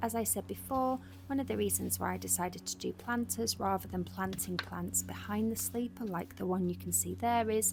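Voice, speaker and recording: Soft-spoken and calm in tone, a woman talks at a fairly quick pace with hardly any pauses. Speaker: lifestyle vlogger. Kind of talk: voiceover narration. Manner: calm, soft-spoken.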